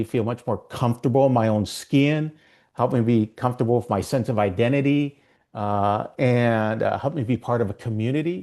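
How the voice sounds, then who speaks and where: A man's medium-pitched, dark, mellow voice with a Minnesotan accent, fairly quick pace and ordinary pitch variation against a quiet background. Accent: Minnesota. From Minnesota, US. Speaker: ERG consultant. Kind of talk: interview.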